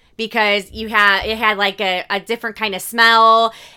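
A woman with an American accent speaks at a fairly high pitch in a bright, sharp tone. Her intonation is monotone and flat, and the recording is very clean with a silent background. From Indiana, US Midwest. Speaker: horror podcast co-host. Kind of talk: casual chat. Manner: laughs often.

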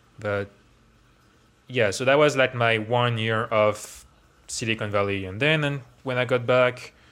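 Here a man speaks with a French accent at a medium pitch. His pace is moderate and his intonation fairly even. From France, Paris area. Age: 20s. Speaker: tech worker and DJ. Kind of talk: casual interview.

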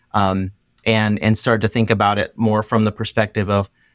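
This is a normal speaking voice at a moderate pace. The sound is dry and close with no echo. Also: man. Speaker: marketing consultant. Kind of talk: podcast interview.

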